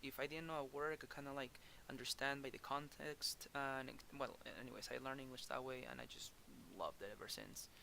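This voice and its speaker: A man speaks at a fairly quick pace in a strong Spanish accent. His tone is bright and sharp, and his pitch is fairly high. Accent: thick Spanish. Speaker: manga editor. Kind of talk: tutorial. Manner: halting, many repetitions and fillers; casual.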